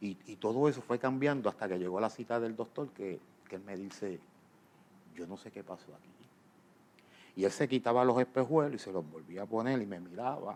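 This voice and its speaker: A man at a medium pitch talks fairly quickly with ordinary pitch variation. His loudness swings widely, and he takes long, frequent pauses. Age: 60s. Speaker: pastor. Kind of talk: interview testimony.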